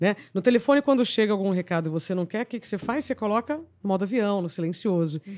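A woman speaks at a very fast pace and medium pitch, her pitch swinging very widely, against a quiet background. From Paraná, Brazil (small inland town). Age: 40s. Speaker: journalist and TV presenter. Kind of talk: podcast interview. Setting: studio, live broadcast.

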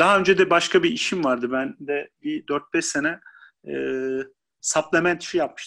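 A man's bright, sharp voice at a moderate pace, with lively intonation and a quiet background. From Turkey, Isparta. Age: 40s. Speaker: basketball coach. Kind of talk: interview.

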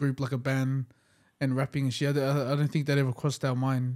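The voice has an Australian accent. Its intonation is monotone and flat. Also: man. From Western Sydney, Australia. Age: 20s. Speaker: rapper. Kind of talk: casual chat.

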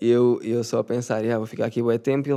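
A man with a European Portuguese accent talks at a very fast pace. His voice sits at a medium pitch. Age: 20s. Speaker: youtuber. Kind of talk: casual monologue. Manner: animated.

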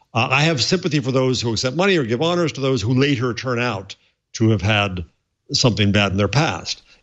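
Using an ordinary speaking voice, a man of medium pitch talks fairly quickly with lively intonation. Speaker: professor panelist. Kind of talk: casual chat.

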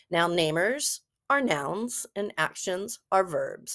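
A woman with a medium-pitched voice is recorded very cleanly against a silent background, the sound dry and close with no echo. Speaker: podcast host, former reading specialist. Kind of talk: solo educational podcast, tutorial.

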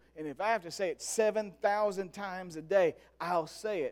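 A high-pitched man with an animated tone at a fairly slow pace, in a very clean recording with a silent background. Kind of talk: sermon. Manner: animated, conversational preacher's cadence with call-and-response; earnest and emphatic, repeating phrases for effect.

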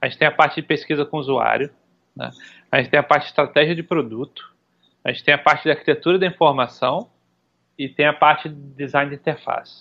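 A man's fairly high-pitched voice at a very fast pace, with fairly even intonation and long, frequent pauses. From Brazil, Recife (Pernambuco). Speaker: UX design director. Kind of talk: podcast interview. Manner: halting, many fillers and repetitions.

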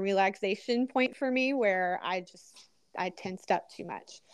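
This woman has a plain, everyday voice with a fairly high pitch. She talks at a fairly slow pace with fairly even intonation. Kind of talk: casual testimony chat.

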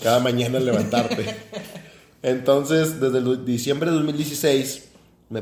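Audible room echo and noticeable background noise surround the speaker. He is a man with a medium-pitched voice. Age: 20s. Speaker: podcast co-host, engineer. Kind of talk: casual chat.

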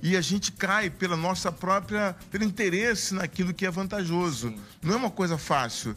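This man's voice is high-pitched, bright and sharp. He talks at a moderate pace with hardly any pauses. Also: ordinary pitch variation. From southern Bahia, Brazil. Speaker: city councillor and pastor. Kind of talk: casual interview.

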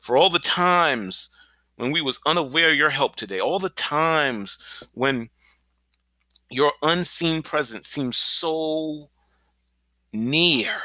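A man speaks at a fairly high pitch with ordinary pitch variation and long, frequent pauses. His tone is both bright and sharp and warm, on a very clean recording with a silent background. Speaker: pastor. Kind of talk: fervent prayer; podcast devotional. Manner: fervent, earnest; warm, encouraging.

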